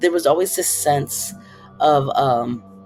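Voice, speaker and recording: A woman with an American accent and lively intonation at a moderate pace, music in the background. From Detroit, US Midwest. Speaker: film director. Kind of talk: interview.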